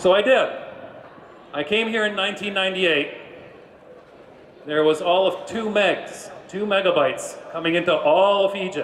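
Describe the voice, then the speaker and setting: Amid noticeable background noise and audible room echo, a man with an American accent speaks in a high voice at a moderate pace with ordinary pitch variation and long, frequent pauses. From US, New York. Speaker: business executive. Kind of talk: keynote speech.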